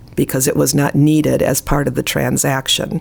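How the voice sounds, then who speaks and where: A woman with an American accent talks over noticeable background noise. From US Midwest, Chicago area / northwest Indiana. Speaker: real estate instructor and realtor. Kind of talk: interview conversation.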